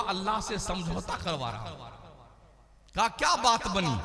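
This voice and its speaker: A man's high-pitched voice is raised and projected, with audible room echo and noticeable background noise. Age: 60s. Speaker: Islamic preacher (mufti). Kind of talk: sermon. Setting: stage with audience at religious gathering. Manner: animated.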